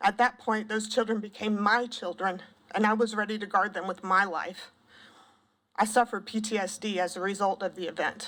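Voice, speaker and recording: With a Southern US accent, a woman speaks shakily at a fairly quick pace, her medium-pitched voice keeping a fairly even intonation. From US South, South Carolina (Pendleton). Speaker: parent testifying at legislature, school counselor. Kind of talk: public testimony. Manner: shaky.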